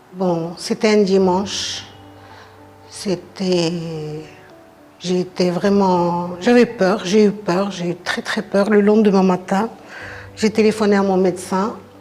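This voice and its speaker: With music in the background, the speech comes at a very slow pace in a flat monotone, with long, frequent pauses. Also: woman, medium pitch for a woman. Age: 60s. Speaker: breast cancer patient. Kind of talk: personal testimony.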